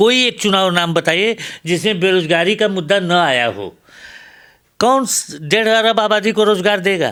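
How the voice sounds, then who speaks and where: Ordinary pitch variation in a man's bright, sharp tone. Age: 70s. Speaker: professor. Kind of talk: interview. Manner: animated.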